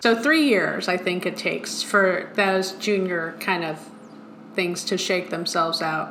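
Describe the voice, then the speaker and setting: A woman with a Long Island accent speaks at a medium pitch and moderate pace with ordinary pitch variation, amid audible room echo and noticeable background noise. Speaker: motion design studio veteran, podcast co-host. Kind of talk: casual chat.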